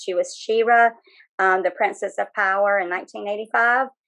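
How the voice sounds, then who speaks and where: Speaking at a moderate pace, a woman with a Southern US accent uses a medium pitch and ordinary pitch variation. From North Carolina, US South. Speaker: author and former live Batgirl performer. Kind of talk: interview. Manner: hesitant, many fillers.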